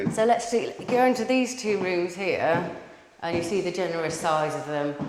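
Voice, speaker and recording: A woman with a fairly low pitch is heard through noticeable background noise and audible room echo. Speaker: property video presenter. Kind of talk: property walkthrough tour.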